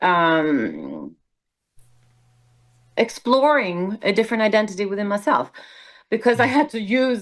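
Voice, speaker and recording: The speaker has a Swedish accent and a fairly slow pace. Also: woman. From southern Sweden. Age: 60s. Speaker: musical theater performer. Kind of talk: casual interview.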